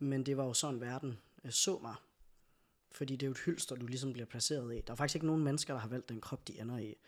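A man rattles along very fast, his medium-pitched voice holding a fairly even intonation. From Denmark, Skive. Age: 30s. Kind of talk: casual chat. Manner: hesitant fillers.

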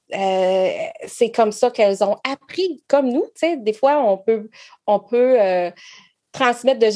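A woman talks at a fairly slow pace with a fairly high pitch and ordinary pitch variation. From Quebec. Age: 40s. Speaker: network marketing entrepreneur. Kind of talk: casual interview.

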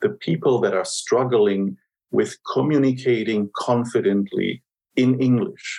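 A man at a fairly slow pace. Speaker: podcast host. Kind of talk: moderated interview about a program.

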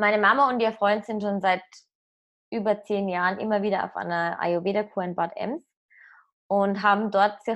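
This woman has an unremarkable speaking voice at a medium pitch, with fairly even intonation. She talks at a moderate pace against a quiet background. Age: 20s. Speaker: app startup employee. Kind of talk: casual chat.

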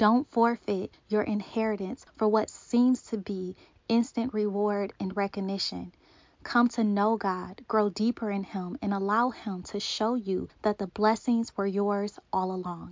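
She speaks at a fairly slow pace with fairly even intonation. This woman has an ordinary speaking voice at a medium pitch. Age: 30s. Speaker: podcast host and author. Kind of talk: faith podcast monologue.

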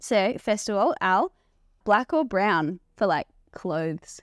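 A woman's medium-pitched, unremarkable speaking voice with lively intonation, dry and close with no echo, in a very clean recording with a silent background. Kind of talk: casual chat.

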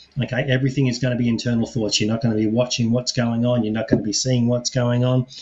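A somewhat breathy man at a very fast pace, medium pitch and monotone, flat intonation. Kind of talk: guided meditation.

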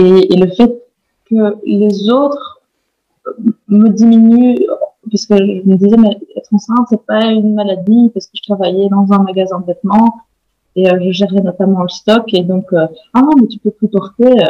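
A woman talks at a fairly slow pace with long, frequent pauses, a medium pitch and fairly even intonation. Her tone is dark and mellow, and the sound is dry and close with no echo. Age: 30s. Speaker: stay-at-home mother and baby/animal communication trainer. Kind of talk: interview testimony. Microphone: poor recording quality.

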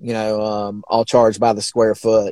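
This man has a dark, mellow tone and a Southern US accent. He talks at a fairly slow pace, with a dry, close sound and no echo. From Alabama, US South. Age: 40s. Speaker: sign and mural painter. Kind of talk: casual interview chat.

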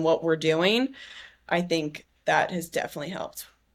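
With an American accent and a plain, everyday voice, a woman speaks at a moderate pace in a fairly low pitch. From US West Coast, San Diego. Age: 20s. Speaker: activewear company founder, former college volleyball player. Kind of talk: casual interview conversation.

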